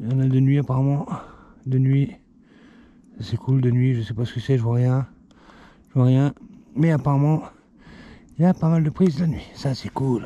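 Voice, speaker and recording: A man's somewhat breathy, dark and mellow voice at medium pitch, with fairly even intonation and long, frequent pauses. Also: moderate pace. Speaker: outdoor vlogger. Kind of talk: casual vlog narration. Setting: outdoors in snowy woods.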